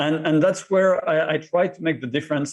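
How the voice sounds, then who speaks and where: A man talks with a French accent. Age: 50s. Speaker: martial artist and cancer survivor. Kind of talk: interview.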